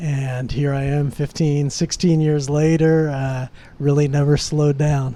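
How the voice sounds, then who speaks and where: With a Californian accent, a man speaks at a fairly slow pace in a fairly high pitch, his dark, mellow tone delivered in a monotone, flat intonation. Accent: Californian American. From California, San Francisco Bay Area. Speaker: expat entrepreneur, residency consultant. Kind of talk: interview podcast. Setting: in person, Buenos Aires.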